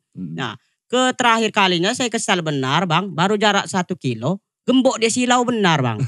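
In a strong Lampung accent, a man with a high pitch and a bright, sharp tone speaks at a moderate pace with very wide pitch swings, on a very clean recording with a silent background. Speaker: TikTok comedian. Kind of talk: casual chat.

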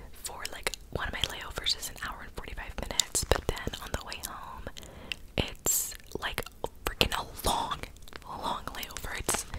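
Long, frequent pauses break up a woman's whispering, which moves at a fairly slow pace. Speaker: ASMR creator. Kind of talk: soft casual ASMR chat. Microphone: studio mic.

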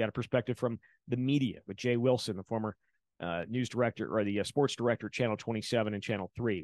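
A man speaks in an ordinary speaking voice with an American accent, at medium pitch and a fairly quick pace. His intonation is fairly even, and the sound is dry with no echo against a quiet background. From Wisconsin. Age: 40s. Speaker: sports podcast host. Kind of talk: sports recap and interview. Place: home room. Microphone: studio mic.

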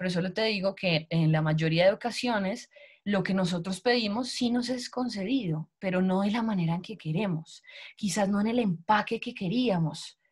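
Over a quiet background, a woman speaks at a moderate pace in a somewhat breathy voice with ordinary pitch variation. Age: 30s. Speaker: network marketing recruiter; sales team leader presenting. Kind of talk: sales pitch. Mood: warm, motivational. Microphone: video call.

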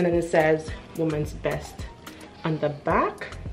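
Clear music plays in the background. A woman with a fairly low pitch speaks at a moderate pace. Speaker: style vlogger. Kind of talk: casual haul review chat. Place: home room. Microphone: camera far.

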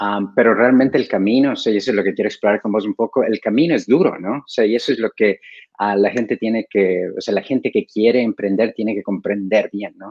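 Over a quiet background, a man talks at a fairly quick pace with hardly any pauses and ordinary pitch variation. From Ecuador. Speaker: co-interviewer, company director. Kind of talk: interview. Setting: video call. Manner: halting. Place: home room. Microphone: video call.

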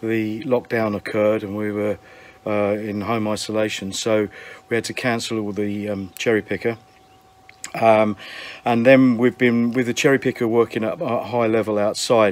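A man speaks at a fairly low pitch and a moderate pace. His intonation is monotone and flat. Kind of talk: casual vlog chat. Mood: cheerful, friendly. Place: garden. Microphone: phone near.

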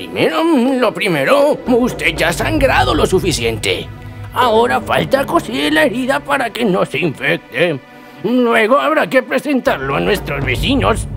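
A man puts on a character voice with a high pitch at a moderate pace. Clear music plays in the background. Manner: courtly, polite, fussy.

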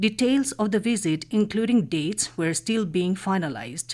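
Speaking with an Indian accent and lively intonation, a woman talks at a moderate pace over a quiet background. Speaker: radio newsreader. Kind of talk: news reading. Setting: studio. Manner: formal. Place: studio.

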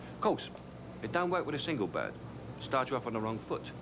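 A man at a very fast pace, bright and sharp in tone with vocal fry and ordinary pitch variation, over noticeable background noise. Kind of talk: acted monologue to camera. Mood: cocky, confiding. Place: street.

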